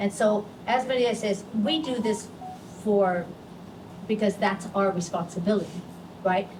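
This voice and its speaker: At medium pitch and a fairly slow pace, a woman speaks with ordinary pitch variation and long, frequent pauses, with audible room echo around her. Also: very even loudness. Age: 70s. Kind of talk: press conference remarks. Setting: press conference.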